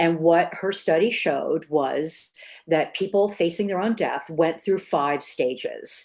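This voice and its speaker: A plain, everyday voice from a woman, moderate in pace, fairly low-pitched, with ordinary pitch variation. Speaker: grief educator. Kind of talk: live online workshop talk. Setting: live video workshop with screen share.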